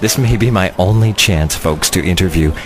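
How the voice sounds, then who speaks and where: Noticeable background noise runs behind the speaker. He is a man whose pitch varies in an ordinary way. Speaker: country radio host. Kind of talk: radio show banter and interviews.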